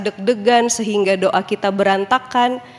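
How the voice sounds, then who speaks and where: Here a woman speaks with a fairly high pitch. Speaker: pastor. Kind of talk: sermon. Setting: church. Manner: casual, conversational.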